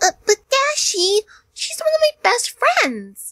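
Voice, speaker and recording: A put-on character voice, female-sounding and pitched extremely high, moves at a fairly slow pace. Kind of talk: fan audio drama. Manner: upbeat, bubbly.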